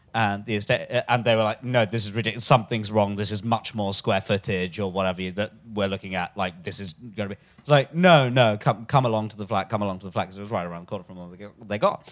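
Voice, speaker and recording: A man with a London accent, fairly low in pitch, at a very fast pace with hardly any pauses and fairly even intonation, in a very clean recording with a silent background. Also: big swings in loudness. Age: young. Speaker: stand-up comedian. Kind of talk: live comedy podcast interview. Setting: stage with live audience.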